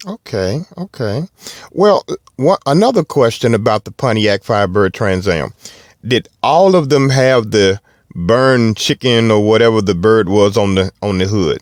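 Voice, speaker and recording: A man with a Southern US accent, medium pitch and lively intonation, in a dry, close sound without echo. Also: moderate pace. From US South. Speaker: car podcast host. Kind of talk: casual chat. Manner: halting.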